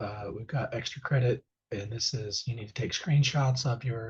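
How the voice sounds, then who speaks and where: A man's somewhat breathy voice at a medium pitch. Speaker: teacher. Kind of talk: tutorial. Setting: screen-share video. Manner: casual, halting with fillers.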